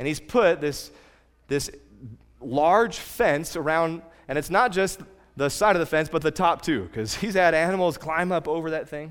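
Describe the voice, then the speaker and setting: A man with an American accent has an unremarkable speaking voice at a fairly high pitch. He talks at a moderate pace with ordinary pitch variation. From California. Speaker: pastor. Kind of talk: sermon.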